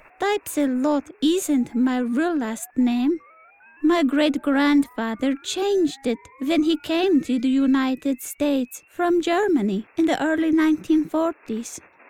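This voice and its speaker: Speaking at a fairly slow pace and high pitch, a woman keeps her loudness very even, the sound dry and close with no echo. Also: ordinary pitch variation. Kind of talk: comic spy spoof radio acting.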